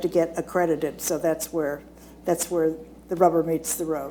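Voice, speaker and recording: Female speech at a moderate pace amid noticeable background noise. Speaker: hospice association executive director, panelist. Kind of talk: seminar panel presentation. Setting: seminar room with live audience. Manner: loud.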